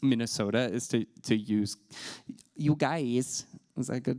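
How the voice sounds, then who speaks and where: In a very clean recording with a silent background, a man with an American accent uses an ordinary speaking voice at a medium pitch, with ordinary pitch variation and a fairly slow pace. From US South. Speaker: LGBTQ inclusion trainer. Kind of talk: presentation. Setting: talk with slides.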